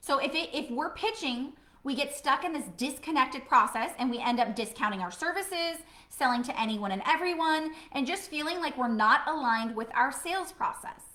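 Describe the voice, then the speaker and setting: Raising and projecting her voice, a woman speaks in an animated tone at a fairly quick pace, her high pitch moving with lively intonation. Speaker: business coach. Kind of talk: live stream talk. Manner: fast.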